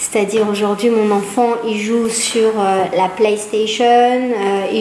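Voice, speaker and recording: In a Hebrew accent, a woman with a fairly high pitch speaks very slowly and with fairly even intonation, amid noticeable background noise and audible room echo. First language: Hebrew (speaking French). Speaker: psychologist. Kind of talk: public talk. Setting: small audience in a room. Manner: hesitant, many fillers.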